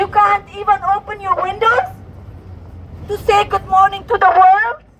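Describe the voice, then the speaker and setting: With noticeable background noise behind her, a woman speaks in an extremely high voice at a moderate pace and with fairly even intonation. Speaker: protest speaker. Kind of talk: protest speech. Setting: outdoor rally with loudspeaker. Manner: impassioned, rousing.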